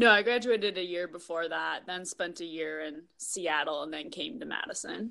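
A woman with an American accent speaks at a moderate pace with hardly any pauses, in a bright, sharp tone and a fairly low pitch. Her voice carries vocal fry and big swings in loudness. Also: lively intonation. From Minnesota. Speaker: professional triathlete. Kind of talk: casual interview.

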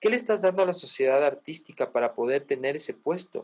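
This man has a high pitch. He talks at a moderate pace. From Ecuador and Colombia. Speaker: musician and music teacher. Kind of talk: casual interview.

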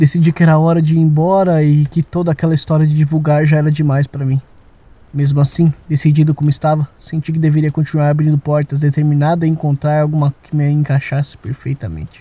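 A man's fairly high, somewhat breathy voice with a dark, mellow tone, flat monotone intonation and a very fast pace, in a dry, close sound with no echo. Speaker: audio drama narrator. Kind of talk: dramatic horror narration, first-person confessional tale with sound design. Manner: halting and shaky, with nervous laughter and repeated phrases.

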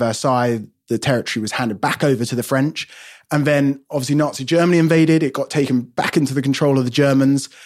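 With a London accent, a man speaks at a medium pitch and a fairly quick pace with fairly even intonation, in a very clean recording with a silent background. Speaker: wine podcast co-host. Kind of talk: casual chat. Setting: home studio outbuilding.

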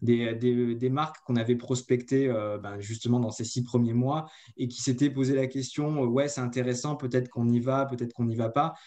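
A man with a dark, mellow tone talks in a monotone, flat intonation at a moderate pace. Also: medium pitch for a man. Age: 30s. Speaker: marketing agency co-founder. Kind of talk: interview. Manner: hesitant, many fillers.

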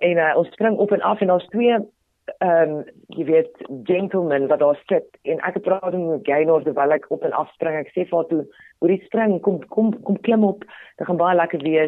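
Her pitch sits fairly low for a woman. Its variation is ordinary. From South Africa, Potchefstroom (Ikageng), North West. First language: Tswana (speaking Afrikaans). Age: 30s. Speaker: radio presenter and TV personality. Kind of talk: interview conversation. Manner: animated.

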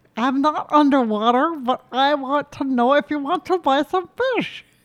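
A put-on character voice, high in pitch. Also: moderate pace. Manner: friendly, sales-pitch tone.

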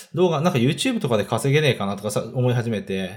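The speaker is a man with medium pitch. His intonation is lively. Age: 30s. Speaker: online video entrepreneur. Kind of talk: casual self-introduction monologue. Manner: hesitant, many fillers.

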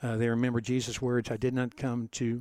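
At a moderate pace, a man with an American accent speaks in an unremarkable speaking voice at a medium pitch. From US Midwest (Cincinnati, Ohio). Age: 50s. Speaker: pastor. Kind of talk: interview.

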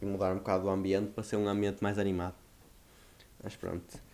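A fairly low male voice with a dark, mellow tone. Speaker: podcast host. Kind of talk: casual solo monologue.

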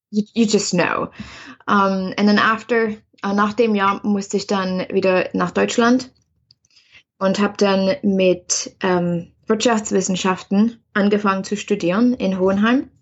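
At a very slow pace, a woman talks at medium pitch, somewhat breathy, with fairly even intonation and very even loudness. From East Germany. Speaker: spiritual coach and author. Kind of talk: interview. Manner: halting, frequent fillers.

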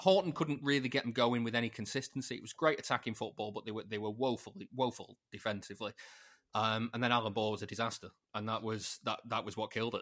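Fairly quick speech from a man at medium pitch, in an unremarkable speaking voice. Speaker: football podcaster, City fan. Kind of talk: casual chat. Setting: video call.

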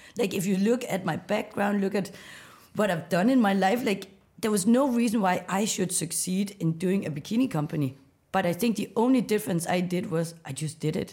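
A woman speaks at medium pitch with ordinary pitch variation. Her tone is dark and mellow and somewhat breathy. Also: fairly quick pace. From Denmark, west coast of Jutland. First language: Danish. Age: 30s. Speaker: startup founder. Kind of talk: interview.

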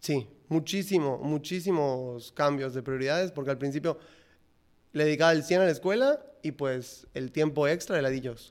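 A man with an ordinary speaking voice talks at a moderate pace with a fairly high pitch and ordinary pitch variation, on a very clean recording with a silent background. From Yucatán, Mexico (Mérida). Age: 20s. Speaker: ice cream entrepreneur. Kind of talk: casual interview.

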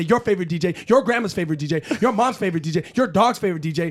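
A man at a high pitch and a very fast pace, animated in tone, with ordinary pitch variation. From Canada. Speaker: podcast co-host. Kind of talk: casual chat. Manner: animated, high energy.

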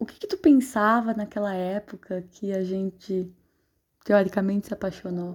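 A dark, mellow, somewhat breathy tone at a fairly slow pace, on a very clean recording with a silent background. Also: woman. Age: 20s. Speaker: podcast host. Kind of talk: personal monologue.

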